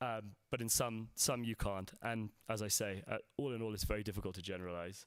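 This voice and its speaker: With a London accent, a man talks in a fairly low pitch and fairly even intonation. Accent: London accent, remarked by himself. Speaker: salt industry executive. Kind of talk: conference presentation. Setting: stage with audience at a conference. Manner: hesitant, many fillers.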